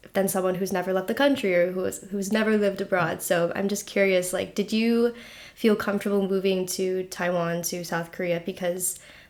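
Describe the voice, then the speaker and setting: Using an unremarkable speaking voice at medium pitch, a woman with an American accent talks at a fairly quick pace with fairly even intonation. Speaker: podcast host. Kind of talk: casual podcast interview.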